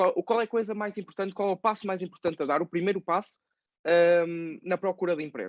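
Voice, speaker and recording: A man's high voice at a fairly quick pace, fairly even in intonation, with a dry, close sound, no echo and a quiet background. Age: 20s. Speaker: podcast host, personal finance youtuber. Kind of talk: interview. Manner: hesitant, many fillers.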